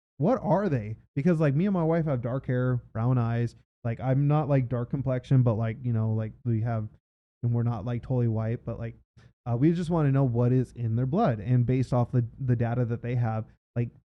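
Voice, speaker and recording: A man with a Southern California accent, medium pitch, moderate pace and ordinary pitch variation. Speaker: death metal guitarist. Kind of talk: casual chat.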